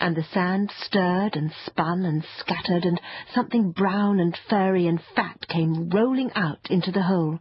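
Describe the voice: This recording is simply plain reading aloud.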